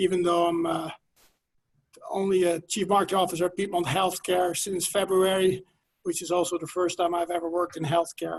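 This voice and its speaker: A man with a Dutch accent and a high pitch speaks at a fairly quick pace in a monotone, flat way. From Netherlands. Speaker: healthcare marketing executive. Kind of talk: webinar panel talk. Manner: hesitant, many fillers.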